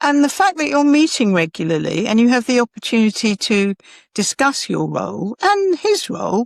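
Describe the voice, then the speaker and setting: A woman with a fairly high pitch and very wide pitch swings is heard in a dry, close sound with no echo. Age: 70s. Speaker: HR expert answering workplace questions. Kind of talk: advice Q&A. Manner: hesitant fillers and repetitions.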